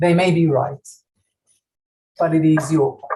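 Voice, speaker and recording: In a non-native accent, a woman speaks at a fairly low pitch with a dark, mellow, somewhat breathy tone. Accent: foreign. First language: not English. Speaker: school operations director and gender researcher. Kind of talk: ceremony speech. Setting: virtual graduation ceremony. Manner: formal.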